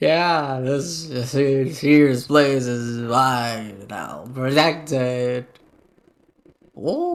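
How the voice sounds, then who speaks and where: Using a put-on character voice, a man speaks at a very slow pace and medium pitch with long, frequent pauses. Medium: actual play. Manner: gruff, curt.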